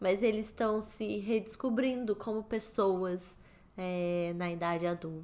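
A woman speaks at a fairly slow pace and medium pitch, with an unremarkable speaking voice. Her pitch varies in an ordinary way. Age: 30s. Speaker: podcast co-host. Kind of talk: casual chat.

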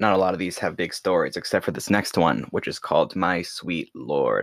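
A man talks with a very deep, low pitch and vocal fry. The recording is very clean, with a silent background and a dry, close sound with no echo. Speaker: music podcast host. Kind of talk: solo podcast monologue. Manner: halting with many fillers.

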